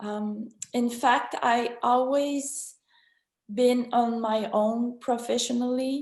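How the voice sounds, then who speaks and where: A woman with a French accent speaks at a very slow pace. Her high-pitched voice has monotone, flat intonation. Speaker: business co-owner. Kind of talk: panel talk. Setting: video conference. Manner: halting.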